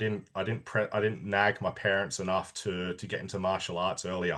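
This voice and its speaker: A quiet background behind a man speaking in an Australian accent. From Australia, Sydney (Sutherland Shire). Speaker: army veteran. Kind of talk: interview. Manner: halting, many false starts.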